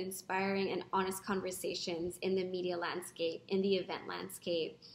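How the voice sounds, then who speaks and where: This woman's pitch sits in the middle. Room echo can be heard. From Philippines, Manila. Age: 30s. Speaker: founder of a women's organization. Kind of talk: video testimonial to camera. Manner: some hesitations and restarts. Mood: earnest, encouraging. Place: home room. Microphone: webcam.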